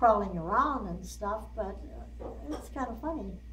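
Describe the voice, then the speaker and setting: Noticeable background noise sits behind the voice. A woman talks at a moderate pace. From South Dakota. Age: 80s+. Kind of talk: interview answer.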